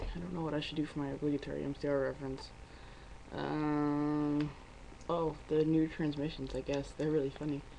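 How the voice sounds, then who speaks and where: Quiet and monotone, a woman with a very deep, low pitch speaks at a moderate pace with flat intonation. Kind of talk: casual talk to camera.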